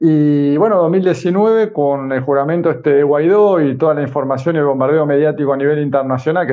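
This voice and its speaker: At a moderate pace, a man with fairly high pitch speaks with ordinary pitch variation. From Argentina. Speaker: communicator and influencer. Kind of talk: interview.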